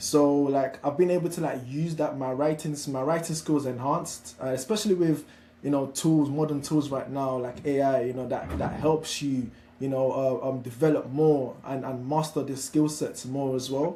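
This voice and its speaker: With a Nigerian accent, a man of fairly high pitch talks at a moderate pace. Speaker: founder of an apprenticeship platform. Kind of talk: webinar discussion. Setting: live online webinar.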